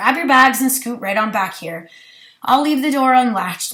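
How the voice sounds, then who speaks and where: Using a put-on character voice, a woman speaks at a moderate pace with a high, raspy, raised and projected voice and lively intonation. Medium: read story. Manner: casual, trying to sound cool.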